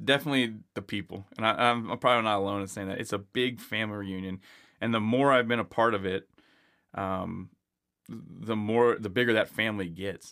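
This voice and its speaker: This man talks at a fairly quick pace, his fairly low voice keeping a fairly even intonation. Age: 40s. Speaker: company founder and pilot. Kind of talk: interview. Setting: studio. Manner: halting, many repeated words.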